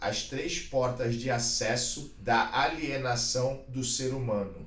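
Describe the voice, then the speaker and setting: With noticeable background noise behind him, a man speaks at a fairly slow pace and a medium pitch, with fairly even intonation. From Brazil, Santos. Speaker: podcast host, former jiu-jitsu world champion. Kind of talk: casual interview.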